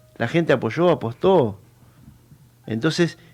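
With a Rioplatense accent, the speaker talks at a moderate pace over a quiet background. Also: man. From Argentina, Buenos Aires province (Benavides, Tigre). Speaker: local political candidate. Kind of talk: radio interview. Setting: radio studio. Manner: hesitant, many fillers.

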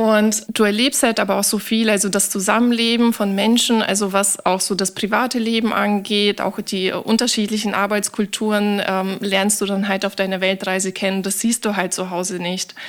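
Medium in pitch, a woman speaks at a moderate pace in a monotone, flat intonation, with hardly any pauses. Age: 30s. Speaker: sustainability manager. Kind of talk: interview.

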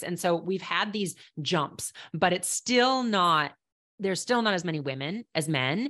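Against a quiet background, a woman with a Minnesota accent talks with lively intonation. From Minnesota, Minneapolis. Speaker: professional climber and conservation entrepreneur. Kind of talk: casual interview.

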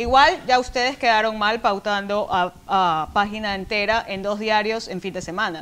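A woman with a plain, everyday voice talks at a moderate pace and fairly high pitch, using ordinary pitch variation and hardly any pauses. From Ecuador. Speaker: language editor and podcaster. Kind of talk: casual chat.

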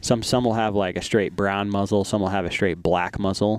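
Moderate pace and fairly even intonation from a man with an ordinary speaking voice pitched fairly low. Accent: American. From Arizona (from age nine). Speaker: hunter and content creator. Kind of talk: casual interview. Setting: shooting facility.

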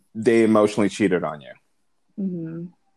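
A man's voice sits in a middle register, moves at an average speed, and varies in pitch by a normal amount. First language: not English. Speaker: podcast co-host, single parent. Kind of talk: casual chat. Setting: remote call, not face to face.

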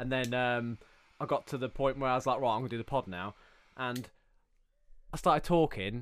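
A man with an English accent talks at a fairly quick pace, using ordinary pitch variation. He leaves long, frequent pauses, and the recording is very clean with a silent background. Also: medium pitch for a man. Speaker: podcast host. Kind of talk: casual chat. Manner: fast talker.

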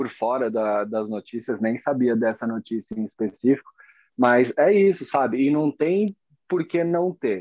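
A plain, everyday voice, this man speaks at a medium pitch and a fairly slow pace with lively intonation. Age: 30s. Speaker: fingerboarder and graphic designer. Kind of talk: casual interview chat.

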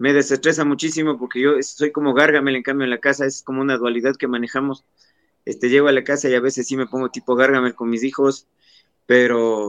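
Talking at a fairly quick pace, a man uses a medium pitch and a monotone, flat intonation. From Ecuador, Pelileo (Tungurahua). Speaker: radio announcer and producer. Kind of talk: interview. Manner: halting.

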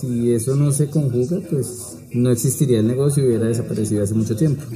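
Amid noticeable background noise and audible room echo, a man talks at a fairly quick pace with a medium pitch and ordinary pitch variation. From Bogotá, Colombia. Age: 40s. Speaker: shopkeeper. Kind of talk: interview.

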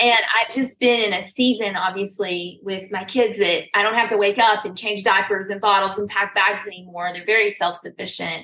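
A woman at a medium pitch, moderate pace and hardly any pauses, fairly even in intonation, noticeable background noise around her. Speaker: fitness company founder. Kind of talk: casual chat.

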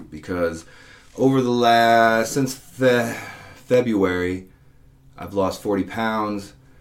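In a room with audible echo, a man speaks at medium pitch, very slowly, with long, frequent pauses and ordinary pitch variation. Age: 40s. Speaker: personal trainer and podcast host. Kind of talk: solo podcast monologue. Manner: casual, conversational with fillers.

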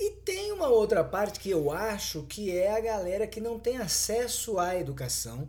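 With lively intonation and a high pitch, a man talks at a fairly slow pace amid audible room echo. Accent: strong São Paulo. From São Paulo, Brazil. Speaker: podcast co-host. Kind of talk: casual chat.

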